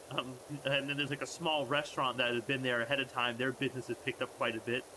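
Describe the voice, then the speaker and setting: Against noticeable background noise, a man speaks very fast at a medium pitch, with monotone, flat intonation and very even loudness. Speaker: streamer. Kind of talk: casual chat. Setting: live stream.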